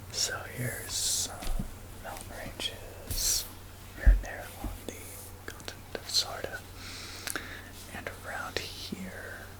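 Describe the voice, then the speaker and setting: The voice is only a whisper. Behind it, background noise is clearly audible. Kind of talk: casual talk to camera, showing a map. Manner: soft-spoken, whispered.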